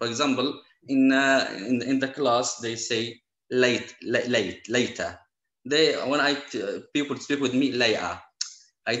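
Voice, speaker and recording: This man speaks with a Syrian accent at a medium pitch. His pace is fairly slow. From Syria, Aleppo. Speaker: Quran and Arabic teacher, refugee. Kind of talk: interview conversation. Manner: halting.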